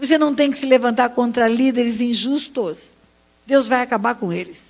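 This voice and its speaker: Her pitch high with ordinary variation, a woman speaks. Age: 70s. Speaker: pastor. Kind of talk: sermon.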